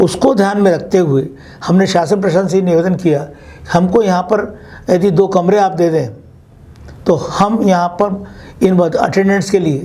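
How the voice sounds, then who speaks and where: A man with a high voice speaks with ordinary pitch variation. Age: 80s+. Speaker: doctor and senior citizens' association organiser. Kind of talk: interview answer.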